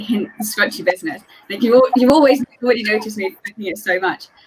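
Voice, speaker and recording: Very fast speech comes from a woman with an English accent. Her pitch is high. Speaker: scrunchie maker, theatre fan. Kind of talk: casual video chat.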